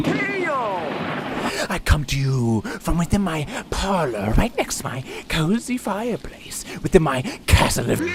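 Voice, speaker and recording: A put-on character voice at a middle pitch comes through at a fairly slow pace over clear background noise. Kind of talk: theatrical show intro.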